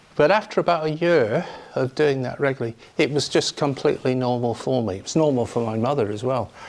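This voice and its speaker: The man rattles along at a very fast pace while noticeable background noise carries on. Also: medium pitch for a man, ordinary pitch variation. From northern England. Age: 60s. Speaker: Buddhist teacher. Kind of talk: dharma talk. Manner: informal, hesitant with fillers.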